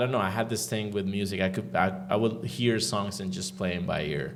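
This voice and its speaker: Over music in the background and with audible room echo, a man with a Spanish accent speaks at a fairly low pitch. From Venezuela. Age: 40s. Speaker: sound engineer and producer. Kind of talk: interview. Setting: room with live audience.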